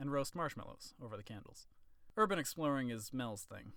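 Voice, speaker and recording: Delivered at a fairly quick pace, an unremarkable speaking voice carries ordinary pitch variation. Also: man. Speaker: author reading own novel. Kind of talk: audiobook narration.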